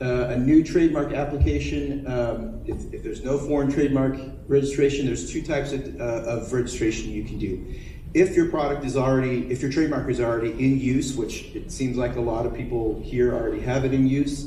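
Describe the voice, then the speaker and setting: A man talks at medium pitch and a fairly quick pace with fairly even intonation. Noticeable background noise and audible room echo surround him. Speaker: attorney, panelist. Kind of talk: panel talk. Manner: fast; halting, many fillers.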